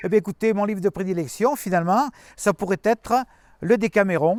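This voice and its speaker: Close and dry, the man's voice carries no echo at all. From France, Ardèche. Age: 70s. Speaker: writer, former mayor. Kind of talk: interview. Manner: halting, many hesitations.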